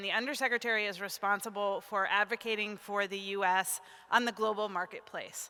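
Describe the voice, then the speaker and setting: A woman speaks at a moderate pace in a bright, sharp tone, with a medium pitch and fairly even intonation. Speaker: state economic development official. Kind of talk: speech at an event.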